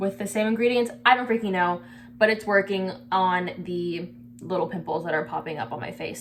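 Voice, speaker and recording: A woman of medium pitch speaks at a moderate pace with very wide pitch swings and big swings in loudness. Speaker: beauty vlogger. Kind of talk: casual skincare tutorial. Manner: halting, stutters on camera; casual, lots of filler words.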